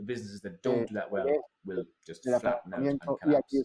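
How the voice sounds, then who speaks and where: At a very fast pace, a man with an Irish accent speaks at a medium pitch. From Ireland. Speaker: keynote speaker on consumer behaviour. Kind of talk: conference talk. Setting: online event. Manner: animated.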